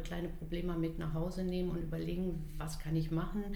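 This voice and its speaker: A woman speaks at a fairly low pitch and a fairly quick pace. The room echo is audible, and there is noticeable background noise. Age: 50s. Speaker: home care worker. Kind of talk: interview. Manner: halting.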